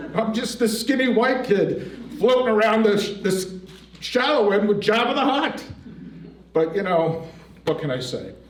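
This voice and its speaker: Lively intonation at a fairly slow pace with long, frequent pauses, plus audible room echo and noticeable background noise. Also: man, high pitch for a man. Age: 60s. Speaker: storyteller at community event. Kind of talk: personal storytelling.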